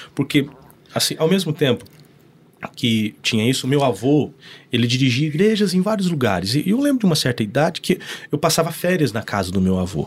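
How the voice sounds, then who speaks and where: The speaker goes at a fairly quick pace with very wide pitch swings and a somewhat breathy sound. Long pauses come often. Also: man, fairly high pitch for a man. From northern Paraná, Brazil (Norte Pioneiro). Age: 30s. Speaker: pastor. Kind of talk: casual chat.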